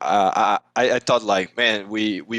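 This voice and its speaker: A man with a Portuguese accent, fairly low pitch, fairly even intonation and a fairly slow pace, in a dry, close sound with no echo. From Brazil, São Paulo. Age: 20s. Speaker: esports manager. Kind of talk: casual podcast interview. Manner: halting, many restarts.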